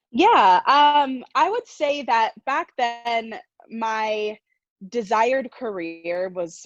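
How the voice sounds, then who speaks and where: In a dry, close recording with no echo and a quiet background, a woman speaks in an energetic tone with very wide pitch swings. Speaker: coach and entrepreneur. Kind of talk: interview.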